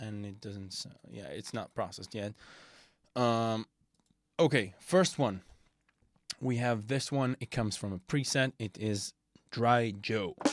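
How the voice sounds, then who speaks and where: A medium-pitched man with a non-native accent, fairly slow pace, long and frequent pauses, ordinary pitch variation, big swings in loudness, and a dry, close sound with no echo. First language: not English. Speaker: music production tutor. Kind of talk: tutorial. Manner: halting, many fillers.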